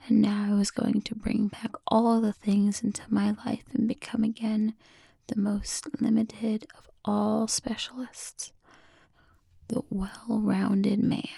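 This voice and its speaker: A woman speaks very slowly in a somewhat breathy, dark, mellow tone at a fairly high pitch, with monotone, flat intonation. The sound is dry and close, with no echo. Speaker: ASMR creator. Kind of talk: ASMR book reading. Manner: whispered, soft-spoken.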